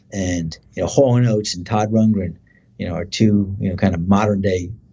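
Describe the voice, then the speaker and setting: Somewhat breathy, a man speaks with an American accent. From New Jersey. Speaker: singer and guitarist. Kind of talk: interview. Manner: many fillers.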